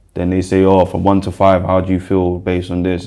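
A man's very deep, low voice in a South London accent, with monotone, flat intonation. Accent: South London, Multicultural London English. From South London (Brixton). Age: 20s. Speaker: rapper. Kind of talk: interview, personal story.

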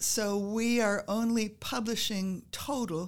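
A woman with medium pitch and fairly even intonation uses an unremarkable speaking voice, recorded very cleanly against a silent background. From US Midwest and Northeast, moved around as a child. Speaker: retired history professor. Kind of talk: interview.

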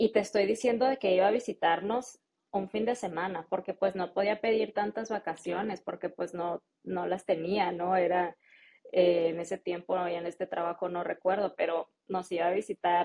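A woman with a Mexican accent speaks at a fairly slow pace, her medium pitch moving with ordinary variation. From Mexico. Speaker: marketing specialist and English-teaching entrepreneur. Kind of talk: interview.

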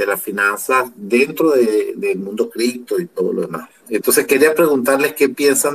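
At a moderate pace, a man with a normal speaking voice talks in a fairly high pitch. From Venezuela. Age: 50s. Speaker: audience member. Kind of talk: question from audience. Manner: formal.

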